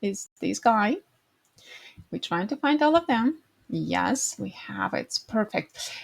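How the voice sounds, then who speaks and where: A woman with a non-native accent speaks at a very slow pace. She leaves long, frequent pauses. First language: not English. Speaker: design tutorial creator. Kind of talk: screen-recorded tutorial. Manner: halting, with fillers.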